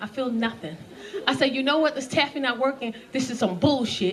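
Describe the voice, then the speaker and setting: Over noticeable background noise, a woman with an American accent speaks at a very fast pace in a high pitch with an animated tone. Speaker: stand-up comedian. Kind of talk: stand-up comedy set to a live audience. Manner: animated, expressive, conversational storytelling.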